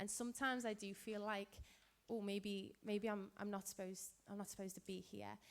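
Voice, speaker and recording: Talking at a fairly quick pace, a woman with a Liverpool accent has a medium pitch. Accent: Scouse. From Liverpool, England. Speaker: physicist and event moderator. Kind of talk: Q&A interview.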